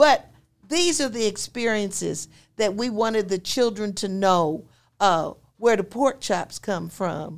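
Delivered at a fairly slow pace with lively intonation, an ordinary speaking voice with an American accent comes through on a very clean recording with a silent background. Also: woman, medium pitch for a woman. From rural Pennsylvania, Chester County. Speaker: retired educator and school co-founder. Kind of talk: interview, life story. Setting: in-person studio recording. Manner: formal.

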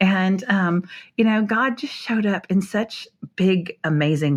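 A woman with an American accent speaks at a medium pitch with lively intonation in an unremarkable speaking voice. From North Dakota, US. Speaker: author and speaker. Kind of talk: personal testimony interview. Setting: hotel room, remote call.

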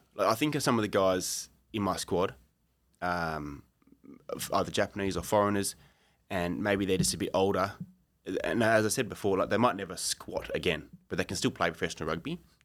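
A man with an Australian accent talks in a very deep, low pitch at a fairly quick pace, with long, frequent pauses. The recording is very clean, with a silent background. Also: ordinary pitch variation. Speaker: strength and conditioning coach. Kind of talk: casual interview.

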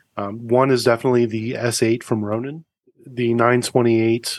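With a dry, close sound and no echo, a man of medium pitch speaks at a fairly quick pace in an unremarkable speaking voice. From US East Coast. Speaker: car podcast host and racing instructor. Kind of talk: casual interview chat.

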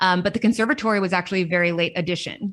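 Talking very fast with an American accent, a woman keeps a medium pitch and fairly even intonation. The background is quiet. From Los Angeles, US. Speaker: arts administrator. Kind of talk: interview.

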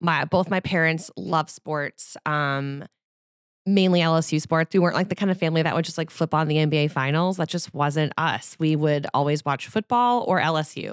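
In a very clean recording with a silent background, a woman speaks at a moderate pace in a very deep, low pitch. Her tone is animated, with ordinary pitch variation and a dry, close sound with no echo. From New Orleans, Louisiana. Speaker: sports reporter. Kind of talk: casual chat. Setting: studio.

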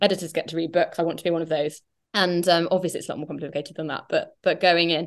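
Very fast and flat in a monotone, a woman with an English accent talks in a fairly low pitch. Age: 30s. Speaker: novelist. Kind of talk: interview.

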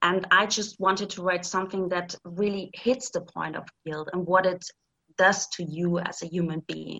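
At a moderate pace, a woman with a German accent speaks in a medium pitch with fairly even intonation. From East Germany. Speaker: thriller author. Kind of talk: interview.

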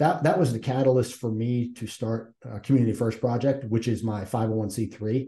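With an American accent, a man speaks at medium pitch in a dark, mellow, somewhat breathy tone. He barely pauses, and his intonation stays fairly even. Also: moderate pace. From Massachusetts. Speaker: retired Navy SEAL and nonprofit CEO. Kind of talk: interview conversation.

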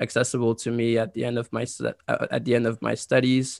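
A man with a French accent speaks at a moderate pace and a medium pitch. His intonation is monotone and flat, and the sound is dry and close with no echo. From Côte d'Ivoire, then Ottawa, Canada. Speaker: university graduate and scholarship winner. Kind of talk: interview.

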